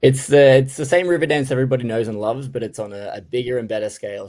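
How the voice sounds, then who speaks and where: The man has a dark, mellow tone and an Australian accent. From Australia, Sydney. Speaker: touring stage dancer. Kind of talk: radio interview.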